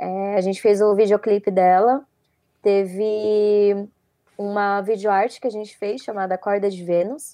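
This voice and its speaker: Against a quiet background, a dark, mellow voice speaks fairly slowly in a flat monotone. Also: woman, medium pitch for a woman. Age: 20s. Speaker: audiovisual production student and photographer. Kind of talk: casual interview chat.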